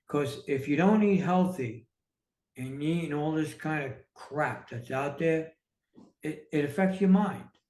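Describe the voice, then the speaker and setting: A man with an American accent speaks at a fairly slow pace, somewhat breathy and with ordinary pitch variation. Audible room echo surrounds his voice. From New York City. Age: 60s. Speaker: entrepreneur and author. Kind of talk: podcast interview. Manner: halting, many fillers.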